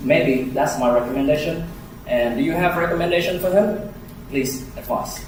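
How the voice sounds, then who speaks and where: Over noticeable background noise and audible room echo, a man is talking. His intonation is lively. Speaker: speech evaluator. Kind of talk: speech evaluation. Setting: club meeting room with audience. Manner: slow, deliberate.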